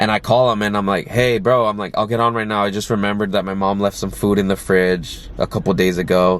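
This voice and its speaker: A man's very fast speech with fairly even intonation, over noticeable background noise. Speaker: vlogger and aspiring actor. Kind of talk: casual talking-head vlog. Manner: filler-heavy, lots of like and you know.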